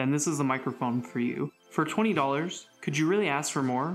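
Faint music in the background behind a man at a moderate pace. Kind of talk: casual review vlog. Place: home room. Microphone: camera far.

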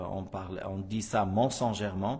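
A man with an Arabic accent, fairly slow and monotone with flat intonation. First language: Arabic (speaking French). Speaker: Islamic religious teacher. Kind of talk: religious lesson. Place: hall. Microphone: podium.

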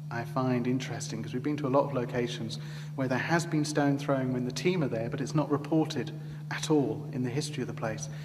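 A man at a fairly quick pace with fairly even intonation, clear music in the background. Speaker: presenter. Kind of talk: TV presenter commentary. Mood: calm, explanatory. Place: hall. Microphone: lapel.

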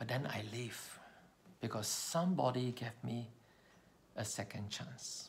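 Somewhat breathy, a man speaks at a fairly slow pace with long, frequent pauses and ordinary pitch variation. Light background noise can be heard. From Malaysia. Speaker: public speaking trainer; communication trainer sharing a personal story. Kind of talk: personal storytelling speech. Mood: earnest, reflective. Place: home room. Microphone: phone near.

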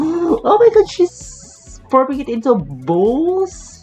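A man with a non-native accent speaks over faint music in the background. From Philippines. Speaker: vlogger. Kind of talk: casual reaction video talk to camera. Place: home room. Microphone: webcam.

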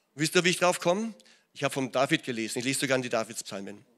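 Here a man talks at a very fast pace with lively intonation. Behind him the background stays quiet. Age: 60s. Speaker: pastor. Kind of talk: sermon. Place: church. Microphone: handheld.

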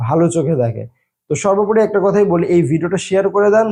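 Dark, mellow male tone, its pitch varying in an ordinary way. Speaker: YouTube content creator. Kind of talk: vlog tutorial. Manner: stutters at times, edited out.

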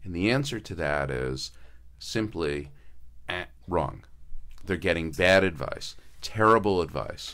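Vocal fry marks a man's speech as he talks at a fairly slow pace in an American accent. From Connecticut. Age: 60s. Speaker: senior care business owner; radio guest. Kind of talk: radio interview. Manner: hesitant, many fillers. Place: studio. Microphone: studio mic.

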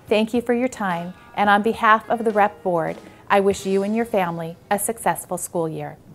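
With faint music in the background, a woman talks at a moderate pace with fairly even intonation. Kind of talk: prepared announcement. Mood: friendly, formal. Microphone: lapel.

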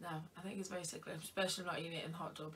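A woman's fairly low, flat, monotone voice at a fairly quick pace. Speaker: online content creator. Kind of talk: casual vlog chat, food tasting. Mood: chatty, jokey. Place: home room. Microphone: camera far.

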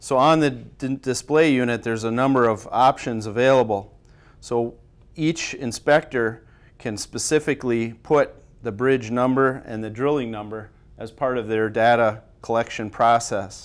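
A man at a moderate pace with fairly even intonation. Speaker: timber inspection instructor. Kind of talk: tutorial. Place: studio.

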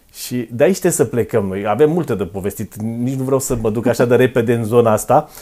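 His tone is dark and mellow, and the man's pitch varies in an ordinary way. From Romania, Dâmbovița county; Romania. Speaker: podcast host. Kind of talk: interview. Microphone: lapel.

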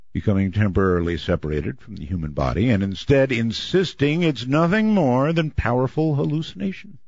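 This man has a normal speaking voice and a moderate pace. The sound is dry with no echo, and the background is quiet. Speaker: radio show host. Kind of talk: radio monologue on the news.

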